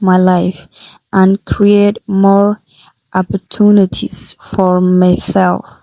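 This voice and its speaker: Woman with a non-native accent, medium pitch, dark, mellow tone, fairly even intonation, very slow pace, dry, close sound with no echo. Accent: non-native, imperfect pronunciation. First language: not English. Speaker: English learner vlogger. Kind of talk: reading aloud from own notes. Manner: halting, self-correcting.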